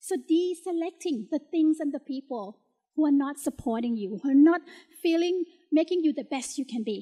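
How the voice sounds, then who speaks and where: In a Thai accent, a woman with high pitch and a dark, mellow tone speaks at a moderate pace with lively intonation, in a dry, close sound with no echo. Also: very clean recording, silent background. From Thailand. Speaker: motivational speaker, talent coach. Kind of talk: keynote speech. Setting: stage with audience.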